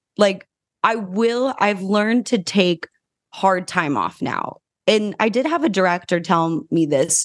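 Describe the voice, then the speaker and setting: A woman's voice with vocal fry and lively intonation. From New Mexico. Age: 20s. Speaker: actress and podcast host. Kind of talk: casual interview chat. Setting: remote call.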